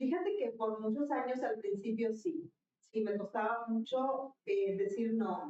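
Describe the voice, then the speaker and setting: A woman with a northern Mexican accent speaks at a fairly high pitch in a dark, mellow tone. Her loudness stays very even, with ordinary pitch variation. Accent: northern Mexican, marked. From northern Mexico. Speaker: leadership guest. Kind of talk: interview conversation.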